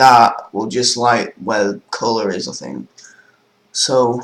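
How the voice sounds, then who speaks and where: A man with a Manchester accent. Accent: northern English (Manchester area). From northern England, near Manchester. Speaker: gaming tutorial youtuber. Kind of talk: tutorial. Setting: screen-recorded computer tutorial. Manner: casual, hesitant with fillers.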